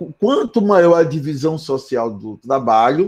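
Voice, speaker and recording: With a fairly high pitch and a dark, mellow tone, this man keeps a moderate pace. His intonation is lively. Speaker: philosophy professor. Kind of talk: lecture. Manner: soft-spoken; conversational.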